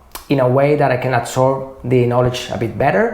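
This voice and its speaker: Audible room echo and noticeable background noise surround speech at a moderate pace. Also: man. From Venezuela. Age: 30s. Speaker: materials engineer. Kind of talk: interview conversation. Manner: hesitant, with fillers.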